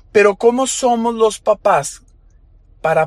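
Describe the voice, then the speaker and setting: Very slow speech from a man. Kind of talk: motivational monologue. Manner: emotional, voice breaking.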